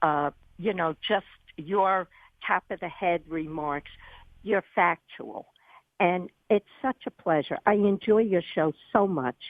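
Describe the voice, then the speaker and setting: The speaker has a New York accent and moves at a very slow pace. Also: woman, medium pitch for a woman, ordinary pitch variation. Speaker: radio caller. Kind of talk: call-in radio talk. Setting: phone call.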